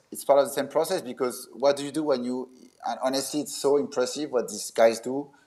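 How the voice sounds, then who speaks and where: A man in a French accent, fairly high-pitched and very fast. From France. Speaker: event technology and magic expert. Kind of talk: interview. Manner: halting, many fillers and restarts.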